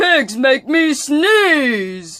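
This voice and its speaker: This is a put-on character voice pitched high. The pitch swings very widely. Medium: read story. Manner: fretful, melodramatic.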